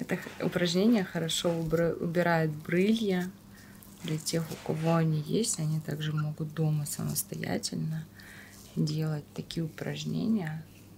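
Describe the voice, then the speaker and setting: Soft-spoken and somewhat breathy, a woman with a very deep, low pitch and ordinary pitch variation talks at a fairly slow pace with long, frequent pauses over light background noise. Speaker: masseuse and esthetician. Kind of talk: educational face massage tutorial narration. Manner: soft-spoken, slow.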